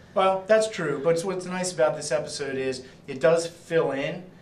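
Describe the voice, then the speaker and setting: Someone talks at a fairly quick pace amid audible room echo and noticeable background noise. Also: man. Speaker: comic shop staff, TV show reviewer host. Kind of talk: casual chat. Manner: animated.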